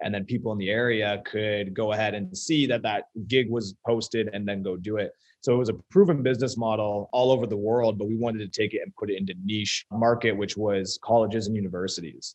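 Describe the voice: At a fairly quick pace, a man talks with a fairly low pitch, a slightly mellow tone and fairly even intonation.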